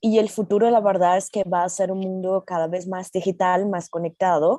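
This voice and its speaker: A woman with a Brazilian accent speaks at a moderate pace and medium pitch, her tone dark and mellow and her intonation fairly even. The sound is dry and close with no echo, over a quiet background. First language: Portuguese (speaking Spanish). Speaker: tech company safety manager. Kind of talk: panel discussion.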